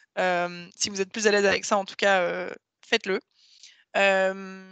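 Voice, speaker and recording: In a dry, close sound with no echo and a quiet background, a woman speaks with fairly even intonation. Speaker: webinar trainer. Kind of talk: online training presentation. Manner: fast.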